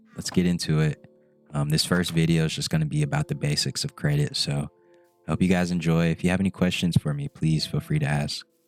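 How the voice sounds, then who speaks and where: A man speaks at a fairly quick pace with a very deep, low pitch and fairly even intonation. The sound is dry and close with no echo, with music in the background. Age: 20s. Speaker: finance content creator. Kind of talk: casual explainer while gaming. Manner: casual, filler words.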